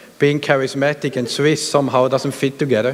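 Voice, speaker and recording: A man's fairly high-pitched voice is heard with noticeable background noise. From Switzerland. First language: not English (German / Hebrew). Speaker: pastor. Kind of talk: sermon. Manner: halting, many fillers.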